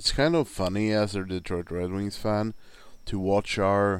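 In a Swedish accent, a man speaks at a fairly low pitch and fairly slow pace with fairly even intonation. The recording is very clean, the background silent. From Sweden. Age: 40s. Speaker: hockey podcaster. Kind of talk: casual monologue.

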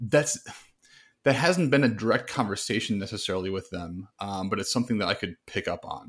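In an ordinary speaking voice, a man with fairly low pitch talks at a fairly quick pace on a very clean recording with a silent background. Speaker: men's podcast co-host. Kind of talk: casual interview conversation.

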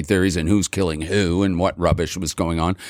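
A man with a Montreal accent and a very deep, low pitch talks at a fairly quick pace with fairly even intonation, in a very clean recording with a silent background. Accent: Montreal English (Canadian). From Montreal, Quebec. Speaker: rock singer. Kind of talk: casual chat. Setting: studio.

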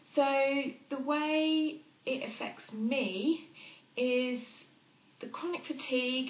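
A woman with a high pitch and ordinary pitch variation is heard with audible room echo. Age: 30s. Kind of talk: interview.

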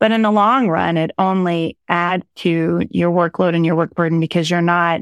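In an American accent, a woman talks in an unremarkable speaking voice with fairly low pitch and ordinary pitch variation, recorded dry and close with no echo against a very clean, silent background. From rural Oklahoma. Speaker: city economic development executive. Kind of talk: interview conversation.

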